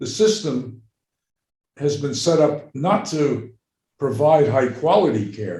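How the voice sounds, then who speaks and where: Speaking fairly slowly, a man uses a somewhat breathy, fairly high voice. He has an American accent. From New York. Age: 80s+. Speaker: psychiatrist and medical anthropologist. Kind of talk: interview.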